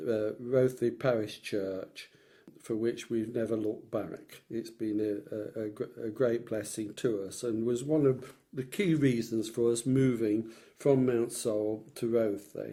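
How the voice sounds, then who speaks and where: A dark, mellow tone in an East Midlands accent, fairly even in intonation and at a fairly slow pace. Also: man, medium pitch for a man. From Leicestershire, England. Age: 70s. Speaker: retired businessman recalling his life. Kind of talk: oral history interview. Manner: halting, with frequent repetitions.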